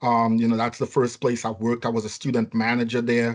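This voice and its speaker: A man of medium pitch in a strong Trinidadian accent, with a quiet background. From Trinidad and Tobago. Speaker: nursing home chief executive. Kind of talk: podcast interview. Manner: hesitant, many fillers.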